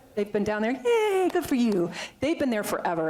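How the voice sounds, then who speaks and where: A woman speaks with ordinary pitch variation against noticeable background noise. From Vermont. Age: 50s. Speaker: veterinarian and animal sanctuary founder. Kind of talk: talk to a club. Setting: talk to a club audience. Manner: fast; animated.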